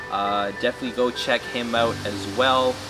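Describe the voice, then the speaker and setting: A man speaks fairly slowly in a French-Canadian accent at a medium pitch, with ordinary pitch variation. Music plays in the background. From New Brunswick, Canada (Moncton, Acadian French). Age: 30s. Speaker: snake breeder. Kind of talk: interview. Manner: hesitant, many fillers.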